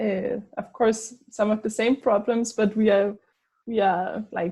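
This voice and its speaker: A somewhat breathy, dark and mellow voice with flat, monotone intonation at a very slow pace. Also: woman, fairly high pitch for a woman. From Denmark. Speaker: anthropologist. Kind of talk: casual conversation. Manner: hesitant, many fillers.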